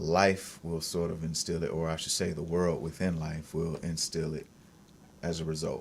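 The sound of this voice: A man with a low-pitched voice and vocal fry speaks at a moderate pace.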